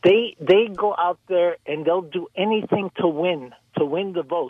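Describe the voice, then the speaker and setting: The man's voice sits high in pitch. Its rise and fall is ordinary. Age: 70s. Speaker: caller. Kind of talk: call-in talk radio.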